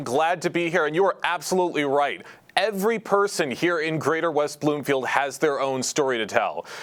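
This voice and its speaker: A man's fairly high-pitched voice at a moderate pace, with ordinary pitch variation, very even loudness and noticeable background noise. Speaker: local TV reporter. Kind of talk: local news report.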